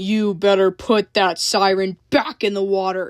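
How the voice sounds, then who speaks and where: In a put-on character voice, a woman growls at a moderate pace and medium pitch with fairly even intonation, the sound dry and close with no echo. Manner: cold, growling.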